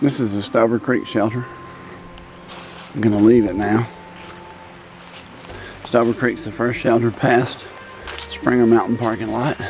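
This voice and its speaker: Over music in the background, a man talks at a moderate pace with an American accent and long, frequent pauses. His pitch is medium and his intonation fairly even. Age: 60s. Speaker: hiker. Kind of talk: casual narration while hiking outdoors. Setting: outdoors.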